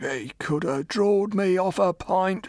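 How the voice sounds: A man performs a put-on character voice at a high pitch. He talks at a fairly slow pace.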